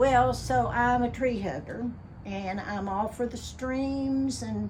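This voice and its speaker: Woman with an Appalachian accent, fairly high pitch and lively intonation, at a very slow pace, amid noticeable background noise. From Appalachian Kentucky. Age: 70s. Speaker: radio DJ. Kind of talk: casual talk to camera.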